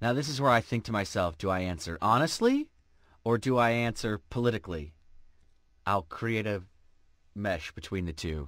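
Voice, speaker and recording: A man with a fairly low pitch and lively intonation, long, frequent pauses, in a very clean recording with a silent background. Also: moderate pace. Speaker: voice actor. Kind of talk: interview answer.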